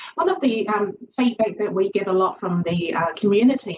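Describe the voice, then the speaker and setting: The speaker's pitch varies in an ordinary way at a moderate pace, with noticeable noise behind the voice. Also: woman. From Chinese background. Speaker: social work lecturer. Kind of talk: lecture. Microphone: video call.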